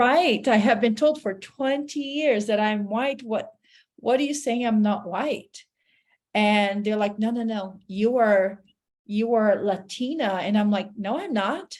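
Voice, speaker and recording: The speaker talks with a Portuguese accent at a fairly slow pace, using ordinary pitch variation. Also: woman, fairly high pitch for a woman. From Brazil, Sao Paulo. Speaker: therapist. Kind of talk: casual interview chat.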